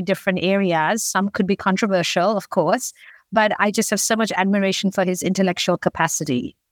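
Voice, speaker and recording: A normal speaking voice from a woman with an American accent, medium pitch and fairly even intonation, in a very clean recording with a silent background. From multiple continents, Africa, Asia, Australasia, US. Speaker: startup founder and CEO. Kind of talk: business interview.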